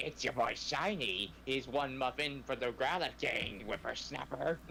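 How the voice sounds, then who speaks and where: Against clear background noise, a man does a put-on character voice at medium pitch and a moderate pace. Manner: crotchety.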